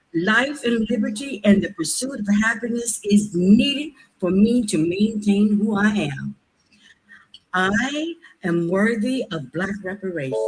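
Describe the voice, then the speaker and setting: Speaking at a fairly slow pace, a woman with an American accent uses lively intonation at a medium pitch, her voice somewhat breathy. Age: 70s. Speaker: public commenter, healthcare professional. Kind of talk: public comment at government meeting.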